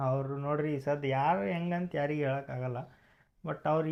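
Ordinary pitch variation in a man's fairly high-pitched voice. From North Karnataka, Bijapur district. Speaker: couple vlogger. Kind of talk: casual Q&A vlog.

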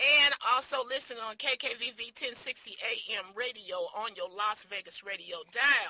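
A very slow pace in a dry sound with no echo. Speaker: talk show host. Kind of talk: radio host announcement. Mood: playful, laughing. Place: studio. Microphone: studio mic.

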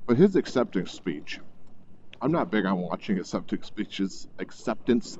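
A man's dark, mellow voice at a moderate pace, dry with no echo, over light background noise. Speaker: motorcycle vlogger. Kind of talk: casual vlog chat. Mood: blunt, irreverent. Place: motorbike. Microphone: helmet.

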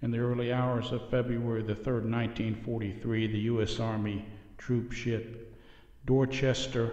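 Very slowly and in a solemn tone, a man speaks at a medium pitch, somewhat breathy, with a monotone, flat intonation. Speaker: narrator. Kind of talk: history documentary narration. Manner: solemn, measured and formal, with a steady reverent tone that builds drama.

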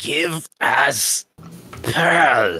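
A raspy, put-on character voice. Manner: choked out, unsettling.

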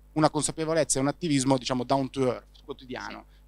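The sound is dry, with no echo, as a man speaks with fairly even intonation. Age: 30s. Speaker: startup founder and CEO of a news platform; guest. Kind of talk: interview. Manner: halting, frequent fillers and repetitions. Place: hall. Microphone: handheld.

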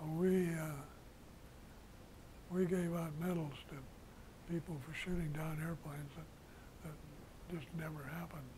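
Over noticeable background noise, a man with a fairly high voice speaks at a fairly slow pace in a monotone, flat intonation. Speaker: war veteran. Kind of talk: interview. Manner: halting. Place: home room. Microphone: lapel.

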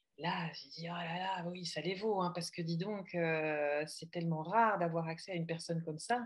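The speaker is somewhat breathy, moving at a moderate pace with hardly any pauses and fairly even intonation. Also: woman, fairly low pitch for a woman. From Belgium. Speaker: coach. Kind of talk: casual conversation. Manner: halting, repeats words.

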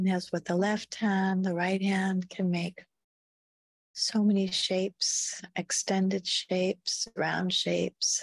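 A woman speaks very slowly and at a very even loudness, the sound dry and close with no echo. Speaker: meditation guide. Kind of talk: guided deep relaxation. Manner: slow, soft-spoken.

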